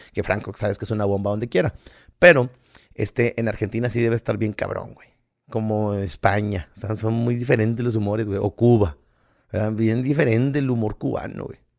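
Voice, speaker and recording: Over a quiet background, a man talks at a fairly quick pace in a medium pitch. His pitch varies in an ordinary way, while his loudness swings widely. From Mexico. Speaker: podcast co-host, comedian. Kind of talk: casual chat. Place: home room. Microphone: studio mic.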